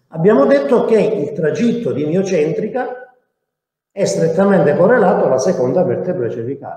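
A man is speaking. His intonation is lively and his pace moderate. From Sicily, Italy. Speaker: dentist and lecturer. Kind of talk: lecture. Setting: online live stream.

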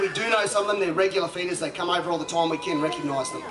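Over crowd noise in the background, a man speaks in a raised, projected voice. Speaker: presenter. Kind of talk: live show commentary. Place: waterside. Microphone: pa.

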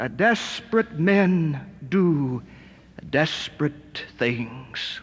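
The speaker has an American accent. The pitch swings very widely. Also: man. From United States. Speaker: motivational speaker, recovered stutterer. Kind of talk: motivational rally speech to a live audience. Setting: live auditorium, audio recording. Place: hall.

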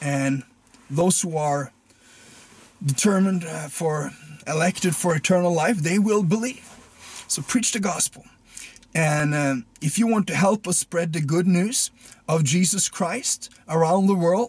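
A man's high-pitched voice at a moderate pace, with long, frequent pauses, ordinary pitch variation and a dry sound with no echo. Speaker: preacher. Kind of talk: casual address to viewers, appeal for support. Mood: earnest, calm. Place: car. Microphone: phone near.

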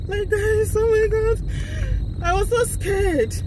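A woman's voice with a dry sound with no echo and noticeable background noise. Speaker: vlogger driving to work. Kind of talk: casual vlog chat. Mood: excited, laughing, relieved. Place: car. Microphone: phone near.

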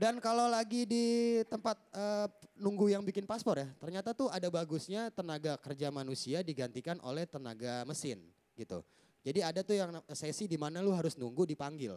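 Talking at a fairly quick pace, a man uses a high pitch with very wide pitch swings. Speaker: stand-up comedian. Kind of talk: stand-up comedy. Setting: stage with audience. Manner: animated. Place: stage. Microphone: handheld.

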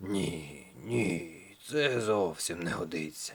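A man puts on a raspy character voice, very deep and low, delivered at a very slow pace. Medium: read story.

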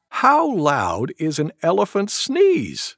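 What we hear is an unforced reading voice.

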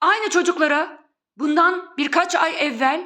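Woman's voice at an extremely high pitch, bright and sharp in tone. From Turkey. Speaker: video blogger. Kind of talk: monologue.

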